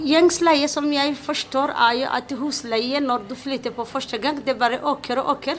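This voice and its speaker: A woman with a Somali accent talks at a moderate pace and high pitch with hardly any pauses, over noticeable background noise. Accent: Somali-accented Norwegian. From Somalia. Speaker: tenant telling her story. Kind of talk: interview testimony. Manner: halting.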